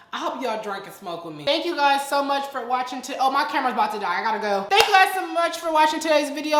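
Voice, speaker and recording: A woman talks at a very fast pace in a high pitch. Audible room echo and noticeable background noise are present. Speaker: influencer, storytime YouTuber. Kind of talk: casual vlog chat. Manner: animated.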